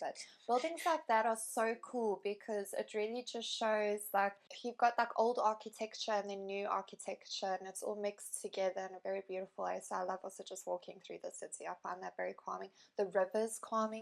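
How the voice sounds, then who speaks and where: A woman with a South African accent at a fairly quick pace, hardly any pauses, and big swings in loudness. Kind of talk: interview answer.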